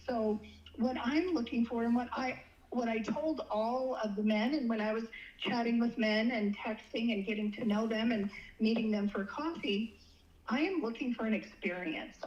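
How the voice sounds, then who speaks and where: Noticeable background noise surrounds a woman speaking at a fairly high pitch. She keeps a moderate pace with ordinary pitch variation. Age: 60s. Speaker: dating guest sharing experiences. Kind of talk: casual interview. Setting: phone call. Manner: halting with repetitions.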